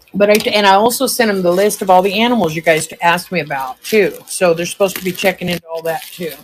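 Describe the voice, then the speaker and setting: A very fast-talking woman at a medium pitch with ordinary pitch variation, set against noticeable background noise. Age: 60s. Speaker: live-stream seller. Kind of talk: live sales stream. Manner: chatty.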